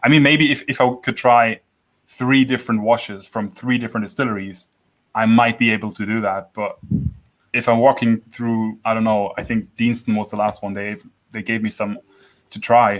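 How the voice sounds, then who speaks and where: The speaker has a German accent and talks at a moderate pace. The intonation stays fairly even. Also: man, medium pitch for a man. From Franconia, Germany. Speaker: livestream host of a whisky channel. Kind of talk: casual chat. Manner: halting, many restarts and repeated words.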